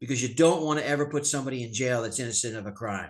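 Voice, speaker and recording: Speaking at a very fast pace with an American accent, a man shows ordinary pitch variation. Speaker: sheriff / police official. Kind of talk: webinar presentation.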